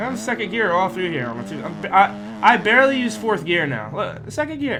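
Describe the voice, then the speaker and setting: A raised, projected voice with very wide pitch swings, set against noticeable background noise. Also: man. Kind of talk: casual gameplay commentary. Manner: casual, hesitant.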